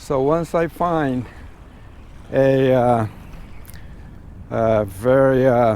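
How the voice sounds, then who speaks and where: Very slow delivery with long, frequent pauses and ordinary pitch variation. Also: man, medium pitch for a man. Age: 60s. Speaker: tour business owner. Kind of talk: business talk to staff. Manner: halting with many fillers.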